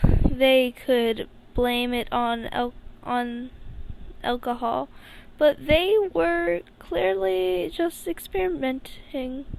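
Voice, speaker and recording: Amid noticeable background noise, a woman speaks at a very slow pace in a high pitch. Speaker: podfic reader. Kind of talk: reading aloud. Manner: halting, stumbling over words.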